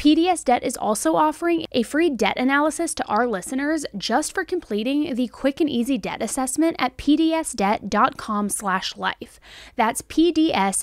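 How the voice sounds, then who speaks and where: A woman's high pitch with lively intonation, in a dry sound with no echo over a quiet background. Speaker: true crime host. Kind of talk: commentary. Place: home room. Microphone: studio mic.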